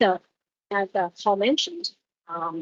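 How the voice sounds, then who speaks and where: The woman talks at a moderate pace. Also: dry, close sound with no echo. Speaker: senior researcher giving a keynote. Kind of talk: conference keynote talk. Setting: conference room with audience, livestreamed. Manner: loud.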